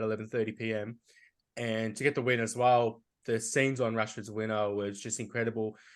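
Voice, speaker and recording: Over a quiet background, a man with an Australian accent talks at a very fast pace in a monotone, flat intonation. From Australia, Melbourne. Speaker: football podcast co-host. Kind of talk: casual chat.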